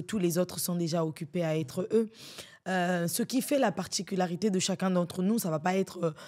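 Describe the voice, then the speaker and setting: Talking at a fairly quick pace, a woman has a fairly low pitch and a dark, mellow tone. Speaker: slam poet. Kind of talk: podcast interview.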